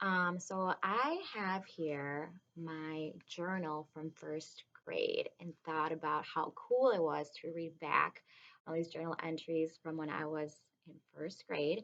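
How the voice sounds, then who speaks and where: Intonation stays fairly even in this voice with a Spanish accent. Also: woman, fairly low pitch for a woman. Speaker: kindergarten teacher. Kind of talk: reading aloud to children. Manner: casual, hesitant with many ums.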